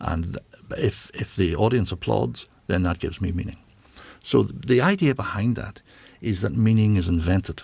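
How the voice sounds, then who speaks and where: A man with a Northern Irish accent speaks at a moderate pace in a fairly low voice, with lively intonation and vocal fry. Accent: Northern Irish (Belfast). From Northern Ireland, Belfast. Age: 60s. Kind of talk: interview. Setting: studio. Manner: halting.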